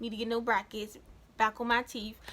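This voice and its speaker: The raised, projected voice has a bright, sharp tone and moves at a fairly quick pace. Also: woman. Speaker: vlogger. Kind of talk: casual vlog talk. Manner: chatty, lots of fillers.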